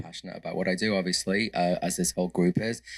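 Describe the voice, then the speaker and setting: On a very clean recording with a silent background, a man with an English accent talks in a very deep, low pitch with fairly even intonation. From England. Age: 50s. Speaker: interior designer. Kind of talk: panel discussion.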